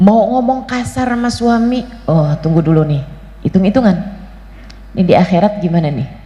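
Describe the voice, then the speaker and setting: A woman at medium pitch, fairly quick yet with long, frequent pauses, lively intonation, audible room echo and noticeable background noise. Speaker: female Islamic preacher. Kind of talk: sermon.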